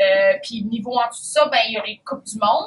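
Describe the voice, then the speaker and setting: In a Quebec accent, a woman speaks with a fairly high pitch and fairly even intonation. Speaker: triathlete. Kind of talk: casual talk to young athletes. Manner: halting, many fillers.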